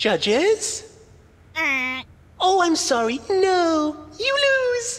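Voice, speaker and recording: In a put-on character voice, a woman squeaks at an extremely high pitch with very wide pitch swings, speaking very slowly with long, frequent pauses. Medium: video game. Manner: slick, showy.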